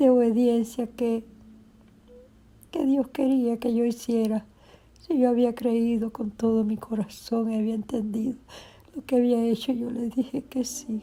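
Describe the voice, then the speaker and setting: A woman's fairly high, dark and mellow voice in a monotone, flat intonation, fairly slow, with long, frequent pauses. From Cuba, Havana. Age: 70s. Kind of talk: testimony. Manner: unscripted, spontaneous.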